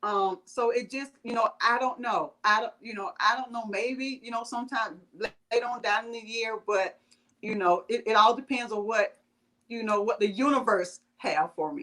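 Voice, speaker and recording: A woman's fairly high, bright and sharp voice in a strong Southern US accent. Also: ordinary pitch variation, moderate pace. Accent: thick Southern US. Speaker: vegan blogger and home caterer. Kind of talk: interview. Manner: halting, many fillers.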